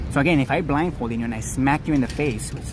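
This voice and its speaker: A man's voice comes with noticeable background noise and audible room echo. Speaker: livestreamer. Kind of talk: live stream commentary. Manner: loud; animated.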